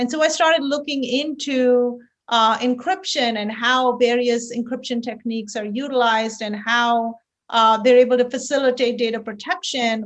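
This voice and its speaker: A woman with an Indian accent speaks in a high pitch with fairly even intonation. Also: moderate pace. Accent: Indian accent, noticeable. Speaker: tech company founder and CEO. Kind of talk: podcast interview.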